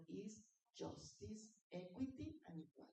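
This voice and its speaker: A woman speaks at a fairly slow pace, sounding somewhat breathy. The room echo is audible. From Latin America. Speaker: conference speaker on women in industry. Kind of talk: conference presentation with slides. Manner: animated.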